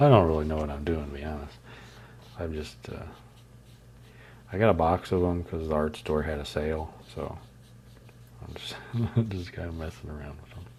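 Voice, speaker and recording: In a room with audible echo, a man with a very deep, low pitch speaks at a moderate pace with fairly even intonation, long and frequent pauses, and big swings in loudness. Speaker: artist streamer. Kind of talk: casual live stream chat while painting. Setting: live stream. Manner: relaxed, casual.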